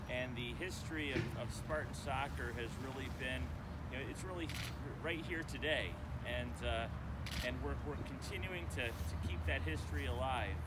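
Over loud background noise, a man speaks with long, frequent pauses. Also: moderate pace. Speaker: university athletic director. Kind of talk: ceremony speech. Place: open country.

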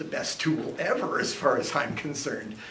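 A man at a fairly slow pace, with audible room echo and light background noise. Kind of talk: informal talk to a group. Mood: relaxed, humorous. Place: classroom. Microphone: camera far.

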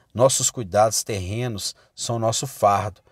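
A man's medium-pitched voice in a solemn tone at a very slow pace. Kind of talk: sermon read aloud as audiobook. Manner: solemn, earnest, exhortative; formal, measured.

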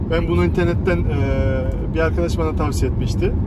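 A man speaks over loud background noise. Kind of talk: casual vlog chat. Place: car. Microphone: phone near.

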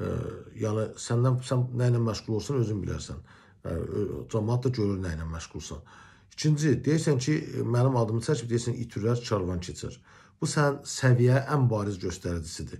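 With a dark, mellow tone and a somewhat breathy sound, a man speaks at a moderate pace with lively intonation and big swings in loudness against a quiet background. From Azerbaijan. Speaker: journalist. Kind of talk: video commentary rebuttal. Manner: confrontational. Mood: aggrieved, confrontational. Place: home room. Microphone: phone near.

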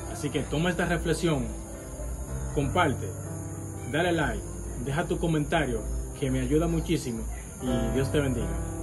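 With clear music in the background, a man speaks at a moderate pace, leaving long, frequent pauses. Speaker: vlogger giving a reflection. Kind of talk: casual vlog outro. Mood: warm, encouraging. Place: street. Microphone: phone near.

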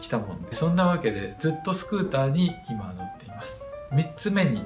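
Clear music plays behind a man speaking at a moderate pace. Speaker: channel host. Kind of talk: channel introduction talk. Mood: friendly, smiling. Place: home room. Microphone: phone near.

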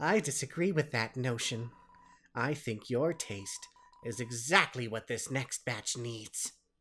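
A put-on character voice at a fairly slow pace. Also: man, medium pitch for a man. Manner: creepy, sly, sweetly menacing.

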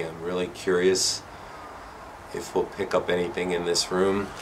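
Over noticeable background noise, a man with a very deep, low voice speaks at a moderate pace. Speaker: paranormal explorer vlogger. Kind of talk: casual vlog chat. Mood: uneasy, hushed suspense. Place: home room. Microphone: phone near.

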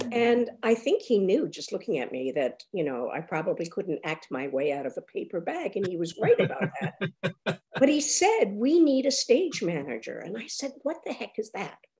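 Against a quiet background, a woman at a moderate pace uses vocal fry, with very wide pitch swings and big swings in loudness. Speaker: interviewee. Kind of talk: interview answer. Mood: warm, animated storytelling. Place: home room. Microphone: video call.

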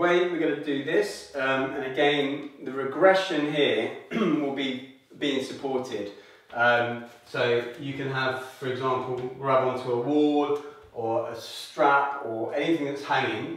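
A man's voice at a fairly slow pace, with ordinary pitch variation and strong room echo. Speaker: fitness instructor. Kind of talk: tutorial. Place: home room. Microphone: camera far.

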